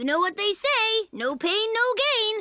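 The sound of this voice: In a cartoonish character voice, someone speaks at an extremely high pitch and a fairly slow pace.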